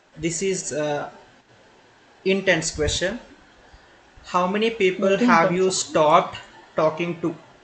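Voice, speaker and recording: Speaking at a very slow pace with long, frequent pauses, a man with an Indian accent and a high pitch keeps fairly even intonation over noticeable background noise. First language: Telugu. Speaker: podcast host. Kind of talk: casual interview chat.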